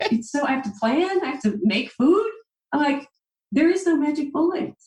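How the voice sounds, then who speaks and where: A woman with an American accent speaks at a high pitch. Her pitch swings very widely at a moderate pace. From US Midwest, Central Illinois. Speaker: dietitian. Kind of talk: interview. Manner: animated.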